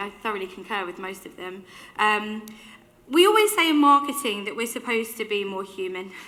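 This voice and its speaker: Loud and animated, the voice moves at a fairly quick pace with very wide pitch swings. Audible room echo and noticeable background noise surround it. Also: woman. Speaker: keynote speaker. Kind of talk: keynote talk. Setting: stage with audience.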